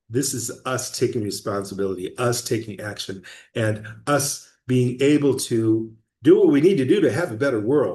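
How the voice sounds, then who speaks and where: A man speaks at a moderate pace with a medium pitch and ordinary pitch variation. His tone is dark and mellow, and somewhat breathy. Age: 60s. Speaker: project founder giving updates. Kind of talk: casual video update monologue. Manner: halting, with fillers and restarts.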